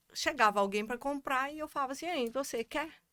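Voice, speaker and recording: A woman speaks with a Goiás accent. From Brazil, Goiás (Goiânia). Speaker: economist and constellation coordinator. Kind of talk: casual chat.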